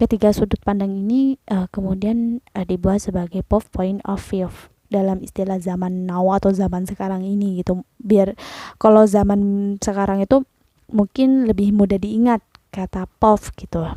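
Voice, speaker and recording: A woman's dark, mellow voice at a moderate pace, dry and close with no echo, in a very clean recording with a silent background. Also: medium pitch for a woman, fairly even intonation. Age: 20s. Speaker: vlogger. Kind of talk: casual explainer monologue. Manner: hesitant, many fillers.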